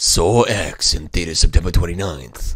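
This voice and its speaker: In a put-on character voice, a man speaks very deep and low at a moderate pace. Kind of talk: promotional announcement. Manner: small, mocking announcer voice.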